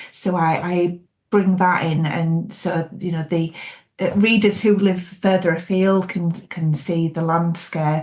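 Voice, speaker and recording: A woman's somewhat breathy, fairly low voice with a Yorkshire accent and monotone, flat intonation. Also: fairly slow pace. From Yorkshire, England (York). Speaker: thriller author. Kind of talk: interview.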